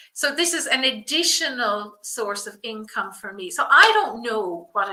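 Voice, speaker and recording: A woman speaks with a fairly high pitch in an Irish accent. Her tone is enthusiastic. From rural south of Ireland. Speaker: business coach for personal stylists. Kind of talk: live webinar presentation. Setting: livestream.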